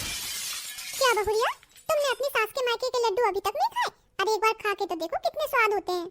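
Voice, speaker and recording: A squeaky, cartoonish character voice rattles along at a fairly quick pace, dry and close with no echo. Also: woman, extremely high pitch for a woman. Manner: chatty, friendly.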